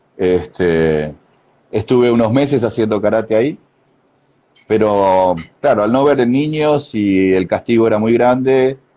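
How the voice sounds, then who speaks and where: At a fairly slow pace, a man of medium pitch speaks with ordinary pitch variation and long, frequent pauses. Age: 60s. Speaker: karate master. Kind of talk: interview. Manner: halting.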